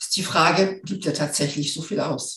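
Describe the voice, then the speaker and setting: A woman with a fairly low pitch speaks at a fairly slow pace, and audible room echo is present. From northern Germany. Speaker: finance expert and hypnosis coach. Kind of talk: interview.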